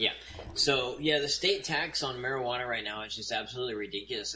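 Amid noticeable background noise, a man's fairly quick speech shows ordinary pitch variation. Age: 40s. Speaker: drone industry marketing representative. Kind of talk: casual interview chat. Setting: remote call.

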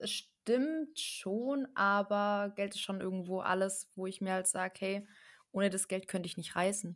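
Against a silent background in a very clean recording, a woman speaks in a plain, everyday voice. Her pitch is medium and her pace fairly slow. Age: 20s. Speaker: network marketer, former care worker. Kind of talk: casual podcast interview.

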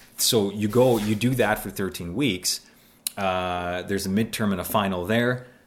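An unremarkable speaking voice: a man with a Canadian accent, fairly low pitch, fairly even intonation, and a moderate pace. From Canada, Mississauga (Ontario). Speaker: former talk radio host, police officer. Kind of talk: interview conversation. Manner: conversational, with frequent fillers and repetitions.

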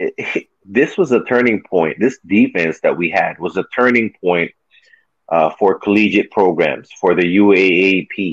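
At a fairly slow pace, the pitch varies in an ordinary way. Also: man. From Philippines, raised in California. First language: Tagalog. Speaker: former basketball player, podcast guest. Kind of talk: casual interview chat.

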